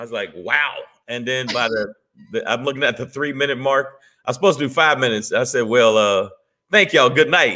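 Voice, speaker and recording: A man speaks at a fairly quick pace with a bright, sharp tone. His pitch varies in an ordinary way, and the background is quiet. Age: 50s. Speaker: stand-up comedian. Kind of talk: casual chat. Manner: animated. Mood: animated, humorous storytelling. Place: home room. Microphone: video call.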